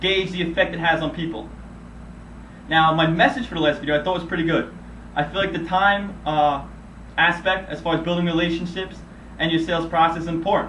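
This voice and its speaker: Amid audible room echo, a man with a high pitch speaks at a fairly quick pace with fairly even intonation and long, frequent pauses. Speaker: medical sales rep. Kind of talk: self-critique video monologue. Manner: monotone.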